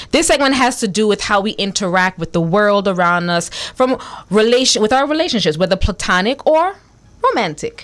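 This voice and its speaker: A woman speaks at a fairly quick pace with a medium pitch. Her tone is animated and her intonation lively. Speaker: radio talk show host. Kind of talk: radio interview intro. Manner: fast.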